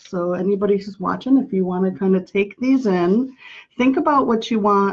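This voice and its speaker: Soft-spoken and medium in pitch, a woman talks at a moderate pace with ordinary pitch variation. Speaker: intuitive painter and oracle card artist. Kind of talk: live stream demonstration. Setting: live video stream. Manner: projecting a little louder than usual.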